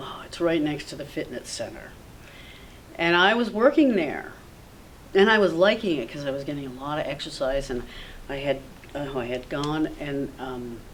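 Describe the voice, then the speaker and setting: Despite noticeable background noise and audible room echo, a woman with a very deep, low pitch speaks at a moderate pace with lively intonation and long, frequent pauses. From Vermont. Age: 60s. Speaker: local resident. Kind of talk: oral history interview. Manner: rambling, halting.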